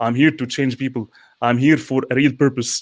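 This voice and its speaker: A man talks with medium pitch and fairly even intonation at a moderate pace. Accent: non-native. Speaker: panel co-host. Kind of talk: live panel discussion. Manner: halting, repeats words.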